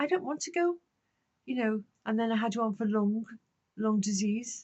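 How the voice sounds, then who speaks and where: Somewhat breathy, a woman with a fairly high pitch speaks at a moderate pace and ordinary pitch variation. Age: 70s. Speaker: vlogger on life in old age. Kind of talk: casual monologue to camera. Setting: garden shed. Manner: conversational, with hesitations.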